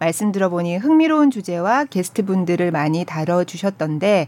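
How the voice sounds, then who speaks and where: Using an ordinary speaking voice, a woman talks at a moderate pace in a fairly low pitch. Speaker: announcer co-hosting an arts podcast. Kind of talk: casual arts talk show chat. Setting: studio. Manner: warm, reactive.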